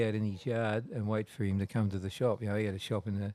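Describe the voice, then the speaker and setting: A man with an Australian accent, fairly low in pitch and dark, mellow in tone, at a fairly quick pace with fairly even intonation. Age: 70s. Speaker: tattoo artist. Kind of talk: casual interview, storytelling. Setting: in a tattoo shop. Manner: halting, many repeats and fillers.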